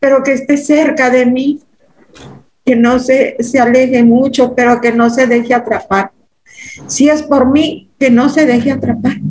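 A woman with a high voice speaks at a fairly slow pace, keeping her loudness very even and her intonation fairly even. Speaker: hypnosis client. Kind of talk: emotional testimony. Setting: video call. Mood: earnest, emotional. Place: home room. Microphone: video call.

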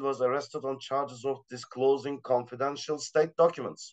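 With a Turkish accent, a man talks at a moderate pace and a fairly high pitch. His intonation is monotone and flat, and the background is quiet. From Turkey. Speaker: assistant professor, art critic; panelist. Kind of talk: panel discussion. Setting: video call. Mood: serious, measured. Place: home room. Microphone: video call.

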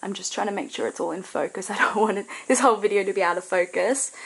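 Delivered at a very fast pace with ordinary pitch variation, this voice carries an Australian accent. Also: woman. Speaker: crafts and snail mail vlogger. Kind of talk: casual vlog unboxing. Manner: animated, excitable.

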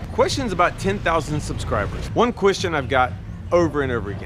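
A man speaks at a moderate pace with music in the background. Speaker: vlogger. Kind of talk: casual vlog chat. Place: street. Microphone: phone near.

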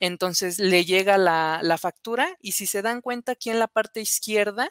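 Against a quiet background, a woman talks at a moderate pace with ordinary pitch variation, the sound dry with no echo. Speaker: software engineer; presenter. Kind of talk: conference presentation. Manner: hesitant, many fillers. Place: home room. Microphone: webcam.

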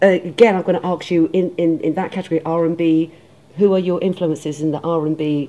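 A woman speaks in a low voice with a dark, mellow tone. Her intonation is fairly even. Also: fairly quick pace.

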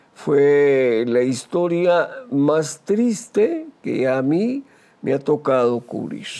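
Moving at a very slow pace, a man speaks in a fairly high pitch with lively intonation. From Costa Rica, Heredia province; Costa Rica. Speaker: retired radio journalist. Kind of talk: interview. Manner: hesitant with frequent fillers. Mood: reflective, calm. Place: studio. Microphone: lapel.

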